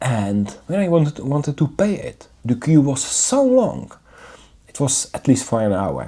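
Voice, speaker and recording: The speaker has a non-native accent and a fairly slow pace. The recording is very clean, with a silent background. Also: man. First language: not English. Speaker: English learner vlogger. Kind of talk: video diary monologue. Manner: halting, with fillers and repetitions.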